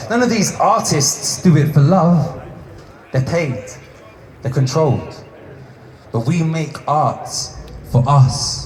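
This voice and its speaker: A man's fairly high voice with lively intonation, a very slow pace and long, frequent pauses, over noticeable background noise. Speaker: spoken word poet; activist. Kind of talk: spoken word poetry performance. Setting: live performance venue.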